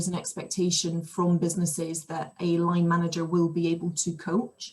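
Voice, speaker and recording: A woman with a Scottish accent speaks at a medium pitch, her voice somewhat breathy. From Scotland. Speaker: outdoor coach. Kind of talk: podcast interview answer.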